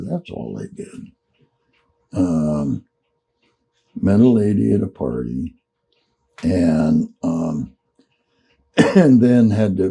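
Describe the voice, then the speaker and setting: A man with an American accent speaks at a very deep, low pitch, with very wide pitch swings. His pace is very slow, broken by long, frequent pauses. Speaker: Vietnam war veteran. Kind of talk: oral storytelling, casual reminiscence. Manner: slow, unhurried.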